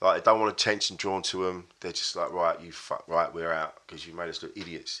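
With an English accent, a man talks at a fairly quick pace with hardly any pauses and big swings in loudness. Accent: English, self-described. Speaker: comedian. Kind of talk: casual chat.

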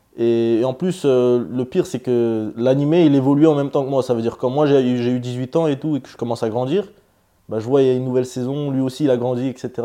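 In a dark, mellow tone, a man speaks at a fairly quick pace. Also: medium pitch for a man. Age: 20s. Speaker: MMA fighter. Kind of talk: interview.

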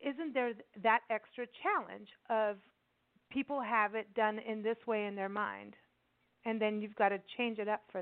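A woman speaks at a fairly high pitch and a moderate pace. Her speech has long, frequent pauses. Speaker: radio host. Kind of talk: casual radio interview. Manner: enthusiastic, warm.

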